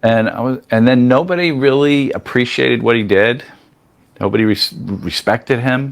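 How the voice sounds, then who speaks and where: Medium in pitch, a man speaks in an unremarkable speaking voice. He keeps a moderate pace with ordinary pitch variation. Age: 60s. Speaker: podcast guest. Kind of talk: casual chat.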